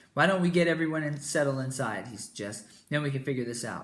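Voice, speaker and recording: A raspy, put-on character voice from a man, fairly high-pitched and very fast. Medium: read story. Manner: deliberate.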